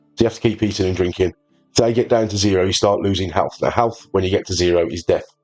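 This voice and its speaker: Music plays in the background as a man with a Birmingham accent speaks with fairly even intonation. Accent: Birmingham-area English. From English Midlands, near Birmingham. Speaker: gaming video creator. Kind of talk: gameplay tutorial commentary. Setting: at home on a sofa. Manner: casual, with hesitations.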